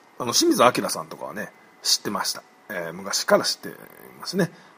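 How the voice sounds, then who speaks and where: Very fast speech comes through with noticeable background noise behind it. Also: man, long, frequent pauses, big swings in loudness. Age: 30s. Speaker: podcaster. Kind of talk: casual monologue. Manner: halting, many fillers.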